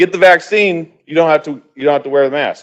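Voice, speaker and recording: A man speaks in an animated tone at a fairly quick pace. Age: 30s. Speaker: public commenter at council meeting. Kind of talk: public comment.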